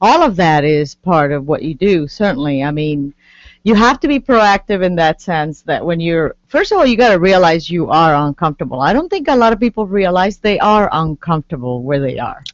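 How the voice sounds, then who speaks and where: A woman's fairly low voice with a Puerto Rican accent, fairly quick pace, hardly any pauses and very wide pitch swings. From Puerto Rico. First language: Spanish. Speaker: guest author. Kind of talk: interview.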